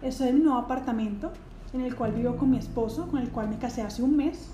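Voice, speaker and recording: A high-pitched woman's voice at a fairly quick pace, fairly even in intonation, over noticeable background noise with audible room echo. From Colombia. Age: 20s. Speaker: podcast host, psychologist. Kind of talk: casual monologue. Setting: at home.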